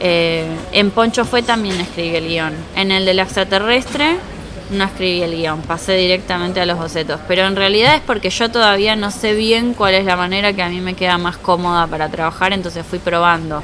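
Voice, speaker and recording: Noticeable background noise runs through the clip. The speaker uses ordinary pitch variation. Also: woman, medium pitch for a woman, moderate pace. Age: 30s. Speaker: illustrator and comic artist. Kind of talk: interview at live meetup. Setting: live meetup with audience.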